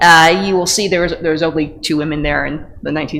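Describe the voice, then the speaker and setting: A woman with a strong Northeastern US accent speaks at a fairly quick pace. Her voice is very deep and low, with fairly even intonation. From US Northeast. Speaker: pediatrician and parasitology researcher. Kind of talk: lecture. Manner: fast.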